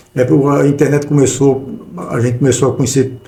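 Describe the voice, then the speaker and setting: Delivered at a moderate pace, this recording carries audible room echo and noticeable background noise. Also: man. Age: 60s. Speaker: podcast host. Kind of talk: casual chat. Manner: halting, many repetitions.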